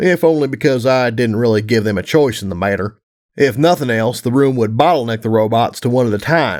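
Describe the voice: Against a quiet background, plain reading aloud unfolds with ordinary pitch variation.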